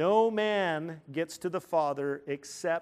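Very cleanly recorded with a silent background, a man speaks in a fairly high voice with ordinary pitch variation. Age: 50s. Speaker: pastor. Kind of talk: sermon. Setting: church. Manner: animated.

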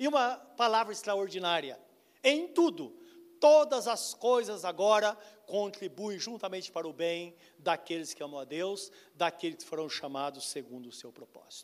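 At a moderate pace, a man speaks in a high voice with very wide pitch swings and big swings in loudness. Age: 60s. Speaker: pastor. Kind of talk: sermon.

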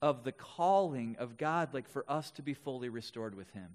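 In a very clean recording with a silent background, a man speaks with an American accent at a fairly high pitch. He has an unremarkable speaking voice, a moderate pace and lively intonation. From Wisconsin, Milwaukee area. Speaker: pastor. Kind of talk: sermon.

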